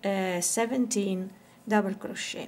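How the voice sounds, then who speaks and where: The pace is very slow. A woman delivers her words with fairly even intonation. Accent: Italian. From Italy. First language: Italian. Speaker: crochet teacher. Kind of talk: tutorial. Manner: slow, counting aloud.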